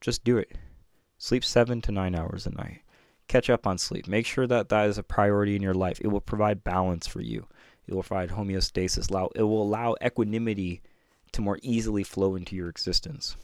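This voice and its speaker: Speaking at a fairly quick pace with fairly even intonation, a man with a plain, everyday voice and a fairly low pitch is heard on a very clean recording with a silent background. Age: 30s. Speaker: spiritual teacher and podcast host. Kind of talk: solo teaching talk. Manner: casual, with laughs.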